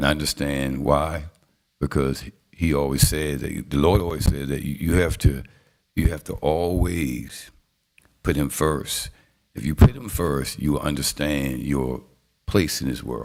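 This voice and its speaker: Speaking at a fairly slow pace, a man with a very deep, low pitch shows vocal fry and ordinary pitch variation. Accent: Southern US. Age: 60s. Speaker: city council presiding official. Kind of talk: council meeting remarks. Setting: city council chambers.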